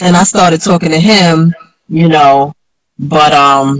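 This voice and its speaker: The pitch shows ordinary variation. The pace is moderate. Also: woman. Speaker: former drug dealer and author. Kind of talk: interview.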